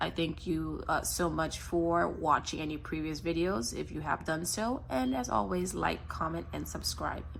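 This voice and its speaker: With an American accent and vocal fry, a woman with a very deep, low pitch speaks at a moderate pace, her pitch swinging very widely amid audible room echo. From US, Haitian American family. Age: 20s. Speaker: personal finance vlogger. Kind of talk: budget vlog talk to camera. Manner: casual, chatty with fillers.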